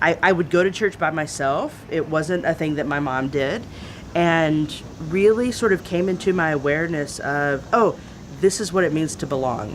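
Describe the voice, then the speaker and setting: Moderate pace and a very deep, low-pitched woman's voice in a Southern US accent, with ordinary pitch variation over noticeable background noise. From Texas (East Texas, San Antonio). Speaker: theologian and activist. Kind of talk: interview.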